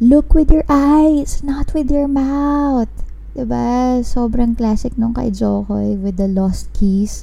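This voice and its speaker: Speech moves at a very slow pace with ordinary pitch variation, set against noticeable background noise and audible room echo. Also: woman, high pitch for a woman. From Philippines. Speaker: podcast host. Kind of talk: casual chat. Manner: code-switching between English and Tagalog.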